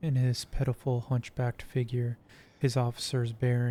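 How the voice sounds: Here is a natural reading voice.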